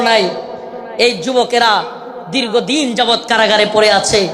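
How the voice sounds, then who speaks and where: A man bellows at an extremely high pitch. Noticeable background noise is present. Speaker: Islamic preacher. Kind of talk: religious sermon at a large gathering. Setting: live outdoor religious gathering. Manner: fiery, roaring.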